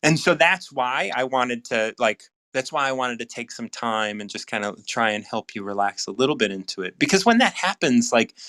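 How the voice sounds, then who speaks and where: Speaking with an American accent and hardly any pauses, a man has a medium-pitched, bright, sharp voice with lively intonation, recorded dry and close with no echo. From United States. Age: 60s. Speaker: recovery mentor, livestream host. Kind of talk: casual live chat. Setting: live stream video call. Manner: repetitive, halting with many restarts.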